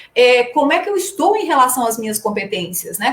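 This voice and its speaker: Her pitch high, a woman talks with very wide pitch swings. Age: 60s. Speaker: trainer and coach. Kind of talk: live stream talk. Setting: live stream.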